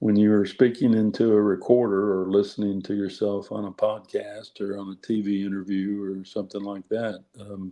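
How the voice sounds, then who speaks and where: Big swings in loudness mark this man's fairly low-pitched voice, which has a slight Southern US accent, monotone, flat intonation and a moderate pace. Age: 60s. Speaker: judge and author. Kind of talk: interview. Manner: halting, many fillers.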